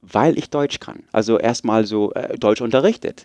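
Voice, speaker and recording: A man with an English accent is recorded dry and close, with no echo and a quiet background. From Munich, Germany and US (Oregon). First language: English (speaking German). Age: 30s. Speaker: podcaster, technical writer. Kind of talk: interview. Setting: podcast festival, on-site recording.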